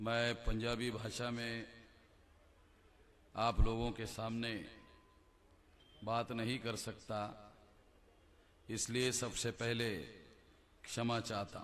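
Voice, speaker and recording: Speaking in a monotone, flat intonation at a medium pitch, a man pauses long and often while his loudness swings widely. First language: Marathi (speaking Hindi). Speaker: activist speaker. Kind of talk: public speech.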